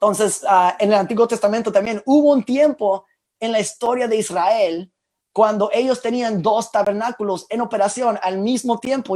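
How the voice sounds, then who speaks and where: Pitched high, a man speaks with fairly even intonation. His pace is moderate. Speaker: preacher. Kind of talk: sermon. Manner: halting.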